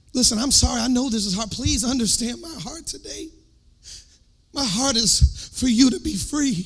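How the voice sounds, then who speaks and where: A man with an American accent speaks at a moderate pace and an extremely high pitch, his intonation lively and loudness swinging widely, with audible room echo. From US South. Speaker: worship leader and preacher. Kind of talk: sermon. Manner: animated.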